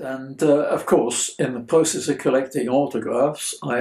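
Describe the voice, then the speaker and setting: Here a man speaks with a British accent at a fairly slow pace. His pitch is medium and his intonation fairly even. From Belgium (Brussels), English mother. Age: 80s+. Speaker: interviewee sharing childhood memories. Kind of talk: interview answer.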